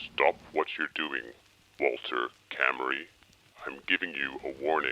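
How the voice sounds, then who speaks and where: A man talks fairly slowly in a put-on character voice pitched very deep and low. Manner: menacing.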